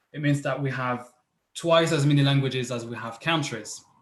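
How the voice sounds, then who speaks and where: A man with a French accent has a fairly high, somewhat breathy voice with ordinary pitch variation. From France. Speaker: PhD researcher, presenter. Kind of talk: online panel talk. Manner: halting, many fillers.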